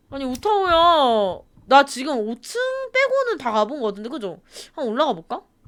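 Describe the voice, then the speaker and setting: On a very clean recording with a silent background, a woman with a high voice swings very widely in pitch at a moderate pace. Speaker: gaming streamer. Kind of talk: horror game let's play commentary. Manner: speeds up when scared; animated, screaming.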